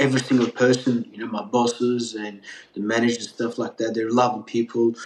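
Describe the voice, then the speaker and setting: With a slight Australian accent, a man talks at a fairly quick pace. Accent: partial Australian. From Turkey, raised in Melbourne, Australia. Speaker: pizza chef. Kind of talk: podcast interview.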